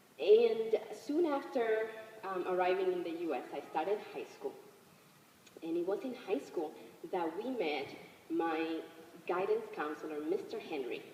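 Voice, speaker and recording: Speaking at a fairly slow pace, a woman leaves long, frequent pauses. The room echo is audible and the background noise noticeable. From Dominican Republic, then New York City from age 13. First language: Spanish. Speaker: behavioral health clinician and immigrant advocate. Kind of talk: public speech.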